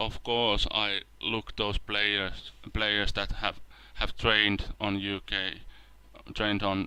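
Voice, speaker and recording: A man speaks very slowly in a Finnish accent, at a fairly low pitch. His tone is bright and sharp, his intonation monotone and flat. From Finland. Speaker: video game let's play creator. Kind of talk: gameplay commentary. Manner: halting, with repetitions and fillers.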